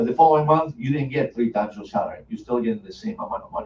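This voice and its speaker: Very wide pitch swings mark this voice with an Argentine accent. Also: man. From Argentina. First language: Spanish. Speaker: financial services presenter, former engineer. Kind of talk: sales presentation.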